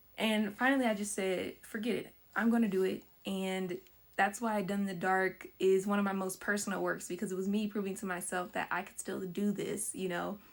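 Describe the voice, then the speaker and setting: Talking at a fairly quick pace, a woman with an American accent keeps a medium pitch and a monotone, flat intonation. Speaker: filmmaker. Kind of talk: casual talk about own film. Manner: fast.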